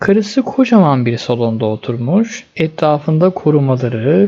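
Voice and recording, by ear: Speaking at a fairly slow pace, a man with a fairly high pitch and a dark, mellow tone makes big pitch swings.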